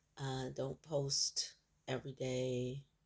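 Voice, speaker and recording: Quiet speech on a very clean recording with a silent background. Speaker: vlogger sharing personal health journey. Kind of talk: personal video diary. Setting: at home early morning. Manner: speaking quietly; hesitant, many fillers.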